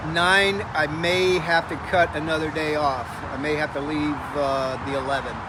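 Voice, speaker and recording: A man's fairly high voice at a moderate pace, fairly even in intonation, with audible room echo and noticeable background noise. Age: 60s. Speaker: activist. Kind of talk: live video interview.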